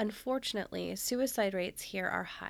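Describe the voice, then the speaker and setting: With an unremarkable speaking voice, a woman talks at medium pitch and a moderate pace with ordinary pitch variation, in a very clean recording with a silent background. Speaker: true crime podcast host. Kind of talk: scripted narration.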